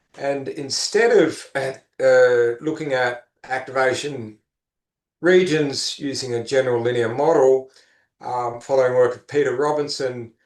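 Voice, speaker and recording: In an unremarkable speaking voice, a man of medium pitch talks fairly slowly with fairly even intonation and big swings in loudness. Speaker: neuroscience professor giving a research talk. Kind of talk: academic lecture. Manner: frequent filler words.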